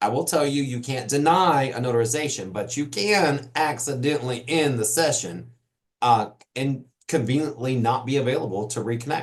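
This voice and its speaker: A somewhat breathy man's voice at medium pitch, moderate pace and ordinary pitch variation. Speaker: notary trainer. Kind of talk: live webinar Q&A session. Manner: off the cuff, conversational.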